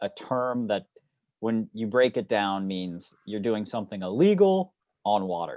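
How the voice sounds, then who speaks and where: In an ordinary speaking voice, a man talks at a fairly slow pace and medium pitch with lively intonation. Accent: American. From US. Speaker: student of underwater archaeology. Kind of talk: casual Q&A talk. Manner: relaxed, informal.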